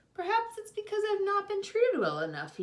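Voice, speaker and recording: A woman puts on a squeaky character voice, pitched extremely high and delivered at a fairly quick pace. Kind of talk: bedtime story. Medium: read story.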